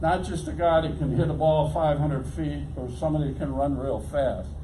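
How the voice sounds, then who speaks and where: Audible room echo and noticeable background noise around a man speaking. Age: 80s+. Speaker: retired baseball coach and athletic director. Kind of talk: motivational speech.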